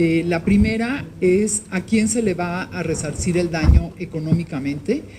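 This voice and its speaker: Over noticeable background noise and audible room echo, a woman speaks with a fairly low pitch and ordinary pitch variation. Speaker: victims' rights activist. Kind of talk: formal speech at press event. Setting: Senate hall with audience.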